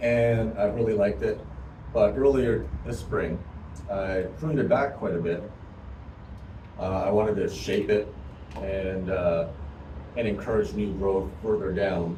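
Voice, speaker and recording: A man speaks fairly low and fairly slowly, with ordinary pitch variation and long, frequent pauses. Noticeable background noise and audible room echo fill the recording. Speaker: hobby gardener vlogger. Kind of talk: casual home video explanation. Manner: speaking louder than usual; hesitant, many fillers.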